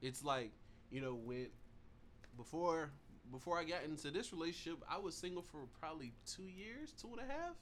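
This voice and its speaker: A man's fairly high voice with lively intonation at a moderate pace, broken by long, frequent pauses. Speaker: podcast co-host. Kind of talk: casual chat. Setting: studio.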